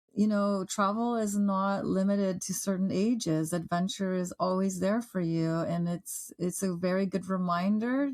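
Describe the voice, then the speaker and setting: On a very clean recording with a silent background, a woman speaks with a Canadian accent at medium pitch. She has a plain, everyday voice, ordinary pitch variation and a fairly slow pace. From Canada, Toronto. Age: 50s. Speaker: author and travel radio host. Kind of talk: casual interview chat. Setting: podcast.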